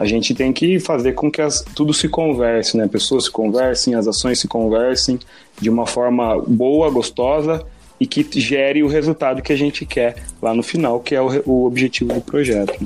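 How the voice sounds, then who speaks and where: A man's medium-pitched voice at a moderate pace, very even in loudness, with music in the background. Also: ordinary pitch variation. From Brazil, Piedade (São Paulo state). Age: 30s. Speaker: project management engineer. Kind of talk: casual chat.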